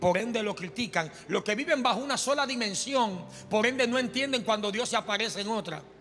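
Faint music plays in the background as a man talks at a moderate pace. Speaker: preacher. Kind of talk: sermon. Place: church. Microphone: handheld.

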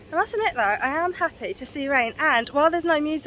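Moderate pace, dry sound with no echo, and light background noise. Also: woman. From England. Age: 30s. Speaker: family vlogger. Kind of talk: casual vlog to camera. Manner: animated. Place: street. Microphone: phone near.

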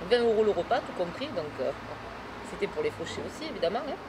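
Background noise is clearly noticeable. A woman's voice comes through over it. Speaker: interviewee. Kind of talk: interview answer. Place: cafe.

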